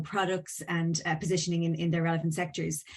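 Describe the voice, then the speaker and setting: A somewhat breathy voice with an Irish accent over a quiet background. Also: woman. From Ireland. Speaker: venture capital firm legal counsel, panelist. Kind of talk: panel discussion. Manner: hesitant, many fillers.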